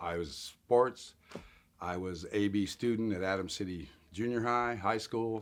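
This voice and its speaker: With a General American accent, a man speaks in a plain, everyday voice, fairly slow and fairly low, with ordinary pitch variation. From Colorado (Denver area). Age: 60s. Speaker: interviewee sharing life story of homelessness. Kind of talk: interview testimony.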